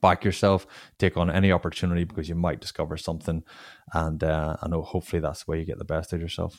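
A man with a Northern Irish accent talks at a very fast pace. His very deep, low pitch stays monotone, with flat intonation. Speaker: former pro rugby player, tech founder. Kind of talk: interview.

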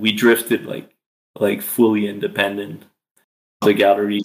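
With a French accent, a man talks in a fairly low pitch with ordinary pitch variation. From Quebec, Eastern Townships. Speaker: artist and musician. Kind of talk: interview. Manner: hesitant, many fillers.

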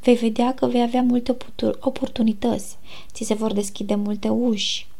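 A woman with a fairly high pitch talks at a moderate pace in a calm tone. Room echo is audible. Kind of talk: casual faith talk. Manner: soft-spoken. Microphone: recorded quieter than intro.

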